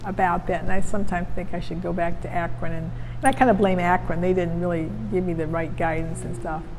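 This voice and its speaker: With an American accent, the speaker talks at a fairly quick pace over noticeable background noise. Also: woman. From Cleveland, Ohio. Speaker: retired judge and legal historian. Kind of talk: interview answer.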